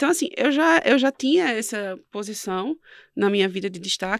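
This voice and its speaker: A woman speaks with a northeastern Brazilian accent and very wide pitch swings. The sound is dry and close, with no echo. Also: very clean recording, silent background. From Northeast Brazil. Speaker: entrepreneur and quiz show winner. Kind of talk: interview.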